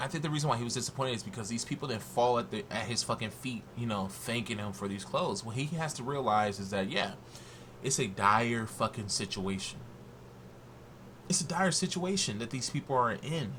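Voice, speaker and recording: The tone is bright and sharp. The speaker moves at a fairly quick pace with lively intonation. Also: man, medium pitch for a man. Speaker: YouTube commentator. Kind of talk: casual reaction rant. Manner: slurring.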